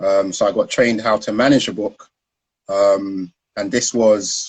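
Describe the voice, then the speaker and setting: A man speaks with a South London accent. His pace is moderate. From South London, Peckham. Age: 30s. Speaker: founder of a stock trading education business, former trader. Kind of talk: interview on Instagram live. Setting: online live video stream.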